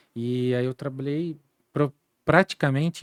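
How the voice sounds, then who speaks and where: A man has an unremarkable speaking voice with a medium pitch and ordinary pitch variation. The recording is very clean, with a silent background and a dry, close sound with no echo. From Santa Catarina, Brazil (Timbó, Vale do Itajaí). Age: 40s. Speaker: entrepreneur and former service club district governor. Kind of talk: interview conversation. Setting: podcast studio.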